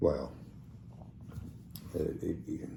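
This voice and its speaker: A man's somewhat breathy, dark, mellow voice with a Southern US accent and audible room echo. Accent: South Alabama. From US South, south Alabama. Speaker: podcast co-host. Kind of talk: casual chat.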